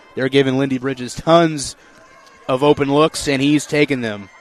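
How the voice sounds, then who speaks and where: Noticeable background noise sits behind a man's voice. He speaks at a moderate pace, fairly high in pitch, with ordinary pitch variation. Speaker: play-by-play sports announcer. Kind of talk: live sports commentary, play-by-play call.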